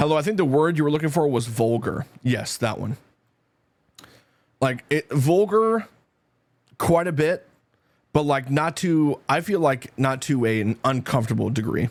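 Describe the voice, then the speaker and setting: Pausing long and often, a man with a fairly high pitch and a slight Canadian accent talks in an animated tone with lively intonation. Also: moderate pace. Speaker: twitch streamer. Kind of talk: casual chat.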